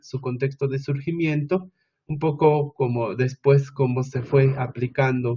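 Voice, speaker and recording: Flat and monotone, a man's fairly high voice comes out somewhat breathy. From Mexico, Oaxaca, Sierra Mixe (Ayuujk people). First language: Mixe (Ayuujk) (speaking Spanish). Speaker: education researcher. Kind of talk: conference presentation. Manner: hesitant, with frequent filler sounds.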